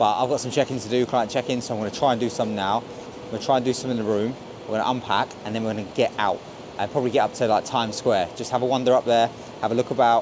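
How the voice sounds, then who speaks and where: Against noticeable background noise, a man speaks very fast with fairly even intonation. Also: medium pitch for a man. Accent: English. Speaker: travel vlogger. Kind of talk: casual vlog narration. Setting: hotel.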